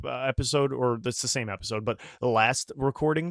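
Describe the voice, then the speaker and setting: The recording is very clean, dry and close, with a silent background and no echo. A man speaks at a medium pitch and moderate pace in a normal speaking voice. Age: 20s. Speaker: podcast host. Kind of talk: reading aloud; casual chat. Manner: casual, filler-heavy.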